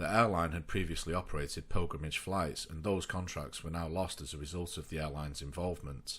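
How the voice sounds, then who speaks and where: There are hardly any pauses in this speech, which keeps a fairly even intonation. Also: man, very deep, low pitch for a man. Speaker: aviation history narrator. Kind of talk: documentary narration.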